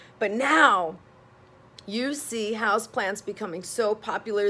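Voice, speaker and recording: With music playing in the background, a woman talks at a medium pitch. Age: 40s. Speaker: psychotherapist and vlogger. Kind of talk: casual vlog monologue. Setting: home office, filmed video. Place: home room. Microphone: phone near.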